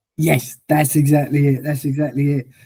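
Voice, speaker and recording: A man speaks at a moderate pace in a fairly high pitch, his tone dark and mellow and somewhat breathy. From Liverpool, England. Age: 40s. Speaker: wheelchair challenge fundraiser with MS, former bus driver. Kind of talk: interview, personal story. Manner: repeats words, stammering starts.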